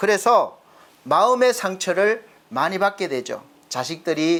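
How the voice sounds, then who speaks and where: A man is talking. The recording is very clean, and the background is silent. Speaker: pastor. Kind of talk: sermon. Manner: lively, energetic delivery.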